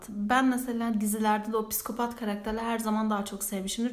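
Audible room echo surrounds a woman speaking at a fairly quick pace with a fairly high pitch and monotone, flat intonation. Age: 20s. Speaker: student podcast co-host. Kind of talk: casual chat.

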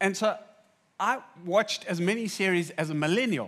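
An animated tone on a very clean recording with a silent background. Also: man. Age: 40s. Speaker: pastor. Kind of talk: sermon.

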